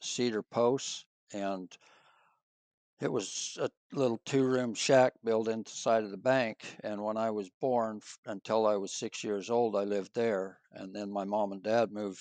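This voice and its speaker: A man's fairly low, unremarkable speaking voice with an American accent, fairly even intonation and big swings in loudness, at a fairly slow pace, with a dry, close sound with no echo against a quiet background. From rural Utah. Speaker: former church member telling his story. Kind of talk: interview storytelling.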